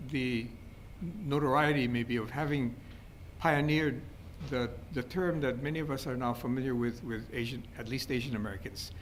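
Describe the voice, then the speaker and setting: A male voice at medium pitch, with room echo clearly audible. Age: 70s. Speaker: history professor. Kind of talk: lecture. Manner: halting, many fillers and repetitions.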